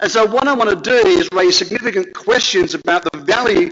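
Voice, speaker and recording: A man talks at a moderate pace. His pitch swings very widely. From Australia. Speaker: professor. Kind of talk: conference talk.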